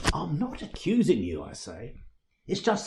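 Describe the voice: This is plain reading aloud. The background is quiet.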